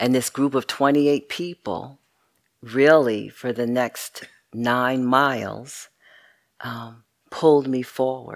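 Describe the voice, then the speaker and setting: Speech comes at a very slow pace with long, frequent pauses in a very clean recording with a silent background. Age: 60s. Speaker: meditation teacher. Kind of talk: dharma talk.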